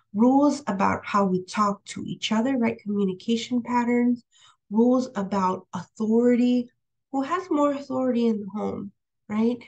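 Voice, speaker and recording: The speaker has a Spanish accent and talks at a moderate pace with ordinary pitch variation. The background is quiet. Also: woman, fairly high pitch for a woman. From California, US. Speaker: professor. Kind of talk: lecture. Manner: hesitant, many fillers.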